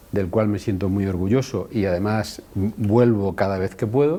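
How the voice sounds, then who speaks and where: Using an unremarkable speaking voice, a man talks at a fairly slow pace with a fairly low pitch and ordinary pitch variation. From Spain, Madrid region (Alcalá de Henares), born in Andalusia. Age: 60s. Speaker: osteopathy school director, physiotherapist. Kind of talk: interview. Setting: in Guadalajara, Mexico, at a university.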